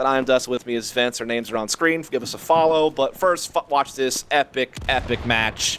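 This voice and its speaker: Against noticeable background noise, a man speaks at a moderate pace and medium pitch with ordinary pitch variation, hardly pausing at all. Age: 20s. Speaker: esports caster. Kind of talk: live commentary. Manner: casual, conversational.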